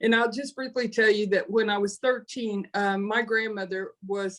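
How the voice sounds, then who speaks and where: A woman's normal speaking voice, medium-pitched, at a fairly quick pace with ordinary pitch variation. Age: 60s. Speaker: panelist in nonprofit webinar. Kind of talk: panel discussion, personal story.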